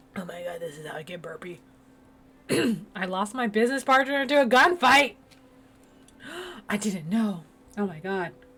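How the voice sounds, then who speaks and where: Against noticeable background noise, a woman at a medium pitch speaks at a moderate pace with very wide pitch swings, big swings in loudness, and long, frequent pauses. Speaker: game streamer. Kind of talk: gameplay commentary reading game dialogue aloud. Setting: live stream. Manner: animated; voice cracks when loud.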